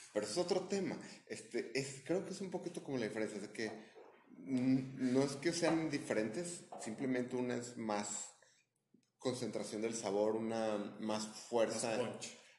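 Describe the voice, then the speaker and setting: A man with a Mexican accent speaks fairly slowly at a medium pitch, with lively intonation. The room echo is audible. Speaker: podcast co-host. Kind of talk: casual chat.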